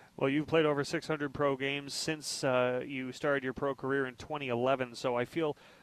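Monotone and flat, a man talks in a fairly high voice with hardly any pauses. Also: moderate pace. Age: 30s. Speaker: sports radio host. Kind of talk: sports talk show.

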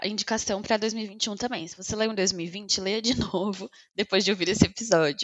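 At a moderate pace and medium pitch, a woman speaks with an unremarkable speaking voice, fairly even intonation and hardly any pauses. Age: 20s. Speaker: podcast co-host. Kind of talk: casual chat.

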